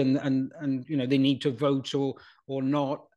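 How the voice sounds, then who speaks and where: A man speaks in a south Wales accent. His pitch is fairly high and his pace moderate. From Wales, Pontypool. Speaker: retired broadcast journalist. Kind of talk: interview conversation.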